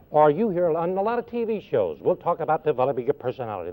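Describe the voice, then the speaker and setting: A man talks at a fairly quick pace in a fairly high pitch. His pitch swings very widely. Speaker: motivational speaker. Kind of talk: radio interview. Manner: fast; animated.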